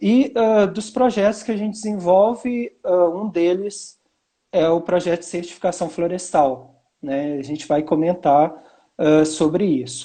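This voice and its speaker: Against a quiet background, a man talks with a high pitch and a dark, mellow tone. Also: ordinary pitch variation, fairly slow pace. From Minas Gerais, Brazil. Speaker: university professor. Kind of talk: live webinar talk. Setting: live video stream.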